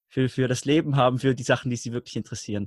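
The sound is dry and close, with no echo. A man speaks at a medium pitch with ordinary pitch variation. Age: 20s. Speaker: learning coach. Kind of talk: interview.

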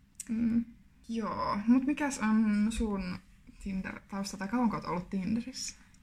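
A woman speaks at a very slow pace in a somewhat breathy, fairly high voice with fairly even intonation. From Finland, Kuopio (Savo). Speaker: podcast co-host, student teacher. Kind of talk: casual chat.

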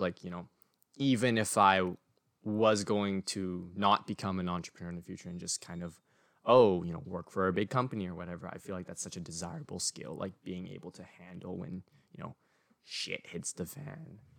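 An unremarkable speaking voice from a man, fairly low in pitch with ordinary variation, at a fairly quick pace, dry and close with no echo, in a very clean recording with a silent background. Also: big swings in loudness. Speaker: podcast host. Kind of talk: casual chat.

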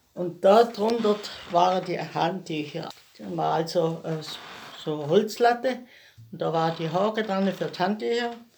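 A woman talks with lively intonation and long, frequent pauses. Noticeable background noise runs underneath. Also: medium pitch for a woman, fairly slow pace. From Lake Constance area, southern Germany. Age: 80s+. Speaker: grandmother interviewee. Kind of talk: life story interview. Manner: halting.

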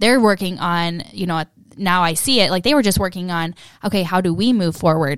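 A woman with a normal speaking voice, medium pitch and ordinary pitch variation, at a fairly quick pace, in a very clean recording with a silent background. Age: 20s. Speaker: co-host of a co-parenting podcast. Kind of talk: casual conversational podcast, candid and reflective. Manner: open, emotional, laughs often.

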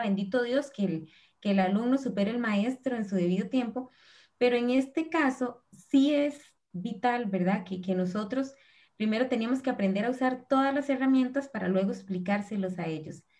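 A woman speaks at a moderate pace with a Costa Rican accent, her pitch fairly high. Her tone is dark and mellow, and somewhat breathy. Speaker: preschool teacher. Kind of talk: live-stream panel conversation.

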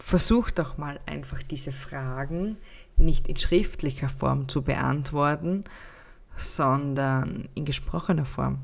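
A woman talks at a very slow pace, and audible room echo can be heard. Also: big swings in loudness. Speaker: podcast host and happiness mentor. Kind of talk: unscripted solo podcast monologue. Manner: spontaneous, unscripted.

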